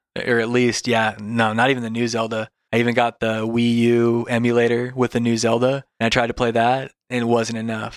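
A man with an American accent speaks in a monotone, flat intonation with hardly any pauses, in a dry, close sound with no echo. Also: medium pitch for a man. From Washington State and Alaska, US. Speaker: gamer and digital nomad. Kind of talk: casual chat.

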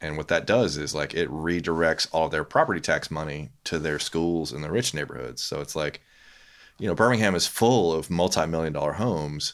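On a very clean recording with a silent background, a man speaks at a moderate pace. His pitch is very deep and low. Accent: Louisiana. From US South, Louisiana (Baton Rouge). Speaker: photographer and graphic designer. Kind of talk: casual chat.

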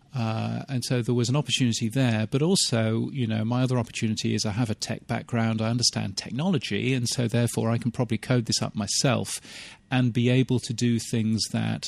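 A British accent at a fairly quick pace, with fairly even intonation, hardly any pauses and a quiet background. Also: man. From England, UK. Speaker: radio consultant and podcast newsletter writer. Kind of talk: casual interview chat. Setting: outdoors.

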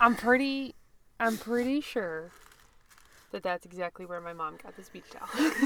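A fairly high-pitched woman, animated and lively in intonation, at a moderate pace with long, frequent pauses, big swings in loudness, and noticeable background noise. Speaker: podcast co-host. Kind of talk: casual banter. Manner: animated, joking.

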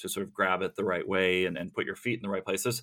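The recording is very clean with a silent background. A man talks at a fairly low pitch with fairly even intonation. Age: 50s. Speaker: author and journalist. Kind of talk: interview. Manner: halting, with many repetitions.

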